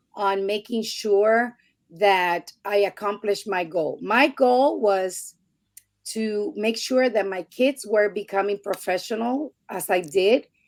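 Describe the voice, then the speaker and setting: Very slowly and at a medium pitch, a woman speaks in a Spanish accent in a very clean recording with a silent background. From Puerto Rico. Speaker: podcast guest. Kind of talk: interview testimony.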